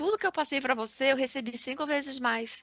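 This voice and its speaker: A woman's high voice, with ordinary pitch variation, moves along at a fairly quick speed. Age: 50s. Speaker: podcast co-host, marketing director. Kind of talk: casual chat.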